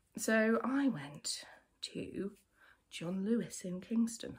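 A southern English accent against a quiet background. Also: woman. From England. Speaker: knitwear designer; knitwear designer podcaster. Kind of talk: casual chat. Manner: conversational, with fillers. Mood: chatty, humorous, nostalgic. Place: home room. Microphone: phone near.

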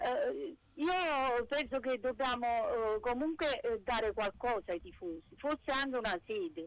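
A woman's high-pitched voice, fairly slow, with very wide pitch swings and noticeable background noise. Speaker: caller. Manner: animated.

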